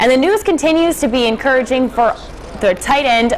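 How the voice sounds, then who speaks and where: Light background noise can be heard as a woman talks. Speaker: TV news anchor. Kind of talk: news reading. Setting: studio. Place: studio.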